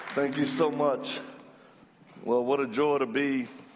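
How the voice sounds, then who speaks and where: Amid noticeable background noise, a man speaks at a medium pitch and a fairly slow pace. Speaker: guest preacher. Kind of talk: casual, joking sermon. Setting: church stage.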